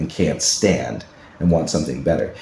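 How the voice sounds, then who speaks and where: An animated tone at a fairly quick pace. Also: man. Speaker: podcast host and fiction writer. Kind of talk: solo podcast monologue. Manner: fast.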